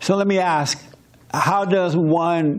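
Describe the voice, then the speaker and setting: Someone talks at a fairly slow pace with ordinary pitch variation, and the room echo is audible. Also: man. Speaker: pastor. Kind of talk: interactive church discussion. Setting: church. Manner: loud.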